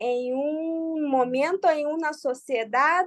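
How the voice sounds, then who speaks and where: Recorded dry and close with no echo, a woman speaks high-pitched with a Brazilian accent. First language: Portuguese (speaking Spanish). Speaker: psychoanalyst, seminar participant. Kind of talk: seminar discussion.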